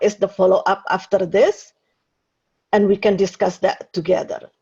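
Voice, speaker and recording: A woman's somewhat breathy, medium-pitched voice with a dark, mellow tone and flat, monotone intonation. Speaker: webinar host. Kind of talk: webinar introduction. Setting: video webinar.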